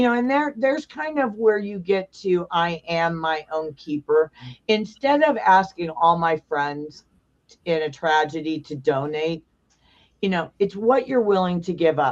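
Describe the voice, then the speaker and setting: Using an ordinary speaking voice, a woman talks fairly slowly at a fairly low pitch. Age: 60s. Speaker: founder of a biker safety nonprofit. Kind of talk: podcast interview.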